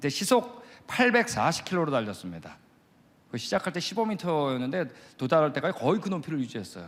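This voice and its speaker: A man's animated, fairly high voice with vocal fry, very wide pitch swings and a fairly quick pace. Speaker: creation science missionary lecturer. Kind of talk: lecture. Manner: fast.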